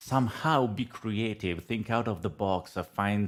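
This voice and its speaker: A man with an Italian accent speaks at a fairly slow pace. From Italy. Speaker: data analytics consultant and trainer. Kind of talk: podcast interview. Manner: hesitant, many fillers.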